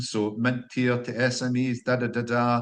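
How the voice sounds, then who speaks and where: In a quiet background, a man with a Scottish accent speaks at a medium pitch. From Scotland. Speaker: company founder, engineer. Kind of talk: podcast interview. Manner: hesitant, repeats words.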